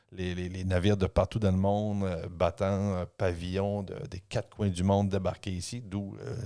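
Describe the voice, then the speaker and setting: A man with a very deep, low pitch and a dark, mellow tone speaks in a flat monotone at a moderate pace with hardly any pauses, captured in a very clean recording with a silent background. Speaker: historian and author. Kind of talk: casual podcast discussion.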